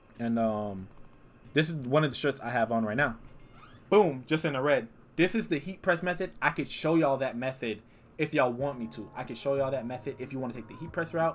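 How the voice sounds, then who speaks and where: Using ordinary pitch variation, a man at a medium pitch speaks at a fairly quick pace with big swings in loudness. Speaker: YouTuber starting a clothing brand. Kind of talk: casual tutorial vlog. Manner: fast. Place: home room. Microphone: webcam.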